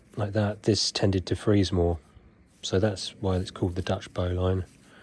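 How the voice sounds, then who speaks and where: This man's tone is dark and mellow, and somewhat breathy. He talks at a moderate pace. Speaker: knot-tying instructor. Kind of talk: tutorial.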